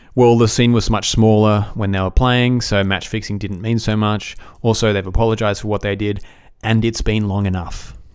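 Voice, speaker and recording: A man with an Australian accent, fairly low in pitch, at a moderate pace with fairly even intonation. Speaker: podcast host. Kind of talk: solo podcast commentary. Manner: casual, with frequent fillers.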